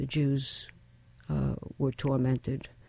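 The recording sounds dry and close, without any echo. An American accent comes through in the speech. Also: woman. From New York. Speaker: author. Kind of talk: casual interview.

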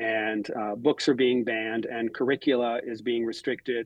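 Monotone, flat intonation marks a man's medium-pitched delivery. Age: 50s. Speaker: professor and novelist. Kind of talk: interview. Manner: hesitant, many fillers.

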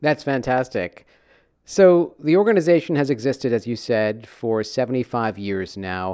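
A man's medium-pitched voice with very wide pitch swings and a moderate pace, on a very clean recording with a silent background. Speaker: radio host. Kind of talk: interview.

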